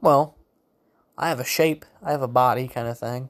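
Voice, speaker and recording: This man's fairly high voice comes through on a very clean recording with a silent background. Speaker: solo podcaster. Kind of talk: solo monologue, casual ramble on politics. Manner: casual, rambling, hesitant with fillers.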